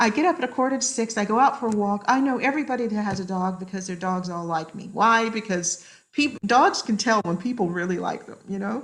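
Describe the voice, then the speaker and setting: An unremarkable speaking voice, this woman's sits at a fairly high pitch with lively intonation. She moves at a fairly quick pace with hardly any pauses. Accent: American. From US, military upbringing in various places. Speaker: social psychologist. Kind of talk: podcast interview.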